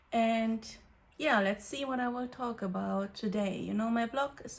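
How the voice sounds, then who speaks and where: A woman speaks with a fairly high pitch and fairly even intonation. Her voice is somewhat breathy. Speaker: youtuber. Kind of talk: casual vlog chat. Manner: quiet; hesitant, many fillers.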